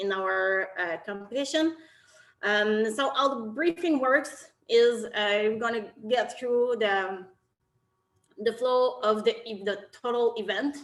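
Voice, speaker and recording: At a very slow pace, a woman with a slight French Canadian accent speaks at a fairly high pitch with ordinary pitch variation on a very clean recording with a silent background. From Quebec, Canada. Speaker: technical officials committee chair. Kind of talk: virtual briefing.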